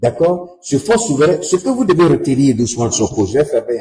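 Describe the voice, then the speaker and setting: Pitched fairly high, this man's voice swings very widely in pitch. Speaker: political commentator. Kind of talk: livestream commentary.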